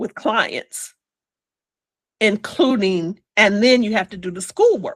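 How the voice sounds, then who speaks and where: A woman talks at a fairly slow pace with a fairly high pitch and an animated tone. The sound is dry and close with no echo. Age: 60s. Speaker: hypnotherapist. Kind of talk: interview testimony.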